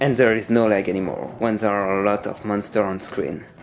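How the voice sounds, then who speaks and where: A man with a non-native accent talks at a moderate pace. Noticeable background noise runs behind him. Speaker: video game reviewer. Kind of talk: video game review narration.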